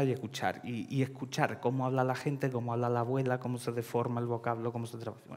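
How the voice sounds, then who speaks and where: The man's intonation is monotone and flat. He speaks very fast. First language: Russian (speaking Spanish). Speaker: writer; panel writer. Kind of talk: panel discussion. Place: hall.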